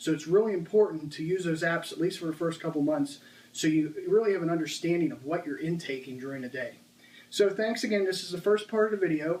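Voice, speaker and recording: A man with a high pitch rushes along at a very fast pace, his pitch varying in an ordinary way. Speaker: fitness vlogger. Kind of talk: casual video monologue. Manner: halting with filler words.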